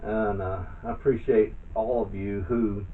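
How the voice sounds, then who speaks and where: The intonation is monotone and flat, and the room echo is audible. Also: man. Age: 60s. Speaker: math tutor. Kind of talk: tutorial. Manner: halting.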